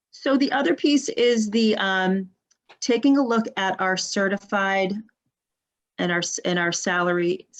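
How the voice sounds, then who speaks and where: Fairly slow speech from a woman, medium in pitch, with ordinary pitch variation. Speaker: school administrator presenting budget. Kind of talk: budget presentation at board meeting. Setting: live-streamed school board meeting. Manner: halting, many fillers and restarts.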